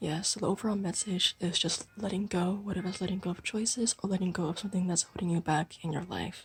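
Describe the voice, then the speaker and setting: Soft-spoken, a woman rushes along at a very fast pace with hardly any pauses and fairly even intonation. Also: medium pitch for a woman. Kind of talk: tarot reading to camera, asmr-style.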